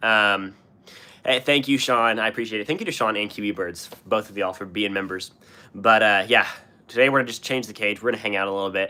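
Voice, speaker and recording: A man speaks at a very fast pace with a bright, sharp tone. His fairly low pitch stays in fairly even intonation. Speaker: pet streamer. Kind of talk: casual live stream chat. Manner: halting, repetitive.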